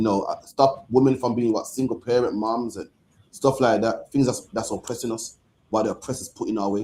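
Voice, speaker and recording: With a Birmingham accent, a man speaks fairly quickly in a dark, mellow tone, his medium pitch held in a monotone, flat intonation. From England. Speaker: religious group leader. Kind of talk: panel discussion.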